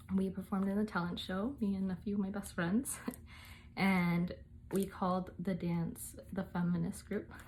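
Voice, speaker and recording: A woman's medium-pitched, somewhat breathy voice at a moderate pace, with fairly even intonation. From United States, Mexican-American family. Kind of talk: casual talk to camera.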